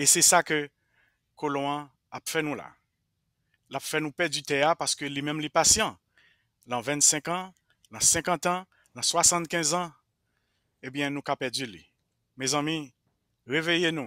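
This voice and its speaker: In a Haitian accent, a man speaks at a fairly slow pace with long, frequent pauses, a fairly high pitch, ordinary pitch variation, a bright, sharp tone and big swings in loudness, in a dry sound with no echo and a quiet background. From Haiti, Jérémie. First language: Haitian Creole (speaking French). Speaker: Haitian roots musician; interview guest. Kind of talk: interview. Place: home room. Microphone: headset.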